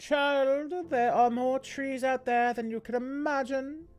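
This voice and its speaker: A female-sounding voice performs a put-on character voice at a high pitch. The pace is fairly slow. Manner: patronizing.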